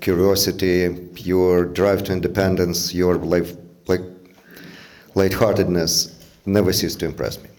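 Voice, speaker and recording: A man with a non-native accent talks in a very deep, low pitch. His intonation is monotone and flat, with audible room echo. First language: not English. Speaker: father of the groom. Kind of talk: wedding speech. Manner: halting, many fillers.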